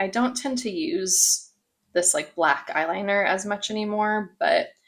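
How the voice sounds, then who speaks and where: Swinging very widely in pitch around a medium level, a woman talks at a moderate pace. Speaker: beauty content creator. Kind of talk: casual talk to camera. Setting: home recording, poor audio quality.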